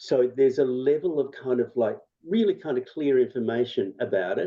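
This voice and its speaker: Speaking at a fairly quick pace, a man with an Australian accent uses ordinary pitch variation. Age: 60s. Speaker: health consumer advocate. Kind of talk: seminar Q&A answers. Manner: halting.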